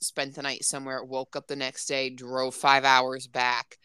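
With a bright, sharp tone, a woman speaks at a fairly slow pace. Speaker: podcast co-host. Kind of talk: casual chat.

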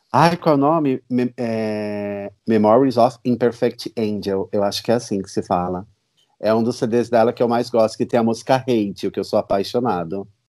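On a very clean recording with a silent background, a man speaks at a moderate pace with a medium pitch and ordinary pitch variation. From São Paulo, Brazil. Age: 30s. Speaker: superfan. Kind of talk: casual interview chat.

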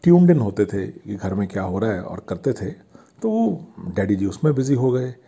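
A man's voice with a dark, mellow tone. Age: 50s. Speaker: podcast host. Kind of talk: nostalgic monologue. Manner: casual, conversational.

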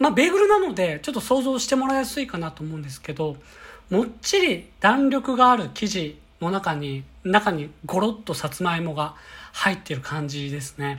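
At a moderate pace, a woman with a somewhat breathy, medium-pitched voice makes very wide pitch swings and big swings in loudness. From Kyoto. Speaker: company employee, bread enthusiast. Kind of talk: monologue podcast, recommendations. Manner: polite, formal.

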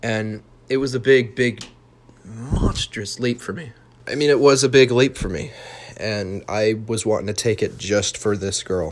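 At a fairly slow pace, a man with an American accent speaks at a medium pitch with ordinary pitch variation. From Utah. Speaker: podcast host. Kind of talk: monologue storytelling. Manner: animated; halting.

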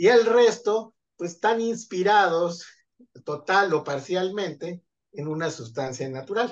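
Very slowly, a man talks with ordinary pitch variation. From central Mexico, State of Mexico. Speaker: chemistry and biology researcher. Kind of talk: interview.

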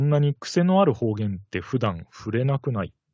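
The pace is moderate. There is a somewhat breathy quality to the voice. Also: man. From Kitakyushu, Fukuoka, Japan. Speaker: podcast co-host. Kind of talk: casual chat.

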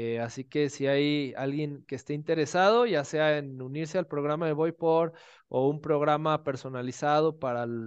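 Dry and close with no echo, a normal speaking voice moves at a moderate pace. The background is quiet. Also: man. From Mexico, Guadalajara. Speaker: running and triathlon coach. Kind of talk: interview.

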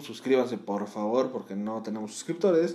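A man with a normal speaking voice, moderate pace and ordinary pitch variation. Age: 20s. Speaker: podcast co-host. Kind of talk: casual chat.

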